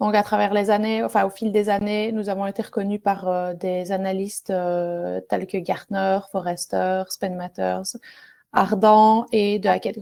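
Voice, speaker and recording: A woman with a strong Belgian accent speaks at a very slow pace in a medium pitch, her dark, mellow tone held to a monotone, flat intonation. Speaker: software product manager. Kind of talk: webinar presentation. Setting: online webinar. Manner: hesitant, many fillers.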